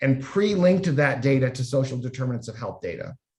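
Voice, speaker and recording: A man's medium-pitched, somewhat breathy voice with lively intonation at a moderate pace. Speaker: health data researcher / panel moderator. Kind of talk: panel presentation.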